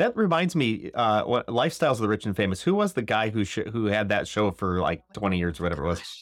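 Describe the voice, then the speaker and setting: A man with a Midwestern accent talks at a very fast pace with hardly any pauses, at a fairly low pitch. His tone is animated, with very wide pitch swings but very even loudness. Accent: general American Midwestern. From US Midwest, Northern Illinois. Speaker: podcast host. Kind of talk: casual chat. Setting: video call.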